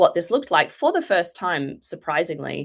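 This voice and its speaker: Against a quiet background, a woman with an Australian accent speaks at a moderate pace with a fairly low pitch. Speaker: foundation executive and political psychologist. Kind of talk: panel presentation. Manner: hesitant, many fillers.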